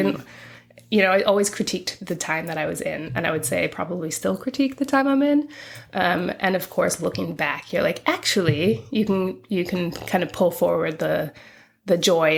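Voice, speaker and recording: Lively intonation and vocal fry from a woman speaking at a moderate pace in a fairly low voice. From England-born, raised in western US (California from 14). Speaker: activist. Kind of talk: interview conversation. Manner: casual, hesitant with fillers.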